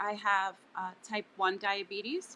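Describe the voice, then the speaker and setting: A woman with an American accent has a bright, sharp tone. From US Northeast, New Jersey. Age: 40s. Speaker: CBD company sales partner. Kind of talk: interview. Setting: live video stream. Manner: slow and calm.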